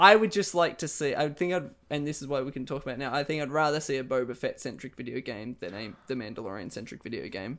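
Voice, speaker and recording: The recording is very clean, with a silent background. A man speaks at a very fast pace, with a fairly high pitch and lively intonation. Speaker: podcast co-host. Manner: excited, enthusiastic.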